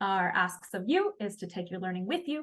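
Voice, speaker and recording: In a somewhat breathy voice, a woman speaks at a medium pitch. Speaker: education coach and workshop facilitator. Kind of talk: online training session wrap-up. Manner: fast.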